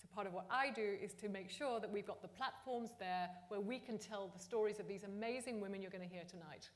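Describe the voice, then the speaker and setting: A woman speaks at a fairly quick pace in a medium pitch with ordinary pitch variation, with audible room echo and noticeable background noise. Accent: London. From London, England. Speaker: entrepreneur network founder. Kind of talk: speech. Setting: stage with audience.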